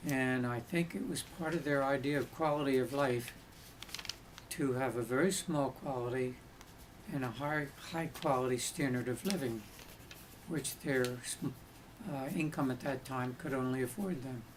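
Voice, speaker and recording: With an American accent, a man talks at a moderate pace and medium pitch, using ordinary pitch variation and long, frequent pauses over noticeable background noise. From New York City. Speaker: oral history interviewee. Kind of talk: oral history interview.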